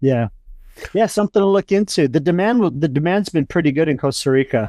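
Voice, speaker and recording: A man with an American accent and a dark, mellow tone speaks very fast at a fairly high pitch with lively intonation and very even loudness. The sound is dry and close with no echo, over a quiet background. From Southern California, Huntington Beach. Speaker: army veteran and dog trainer. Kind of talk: casual interview chat.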